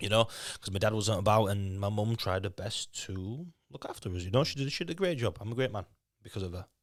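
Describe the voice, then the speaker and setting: A man with a Yorkshire accent, fairly low pitch, ordinary pitch variation and a very fast pace, in a very clean recording with a silent background. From Leeds, Yorkshire (raised from age 8; born in Lithuania). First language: Lithuanian. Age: 20s. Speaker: fitness boot camp owner. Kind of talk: podcast interview. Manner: halting, frequent repetitions.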